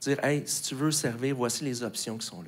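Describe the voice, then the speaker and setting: The voice belongs to a man. He keeps a moderate pace with fairly even intonation. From Quebec. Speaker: pastor. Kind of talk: sermon. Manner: hesitant with many fillers. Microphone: handheld.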